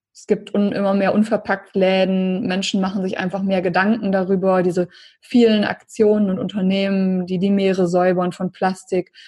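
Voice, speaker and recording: A woman speaks at a moderate pace and medium pitch, somewhat breathy, with monotone, flat intonation. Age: 30s. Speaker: entrepreneur and life coach. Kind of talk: interview.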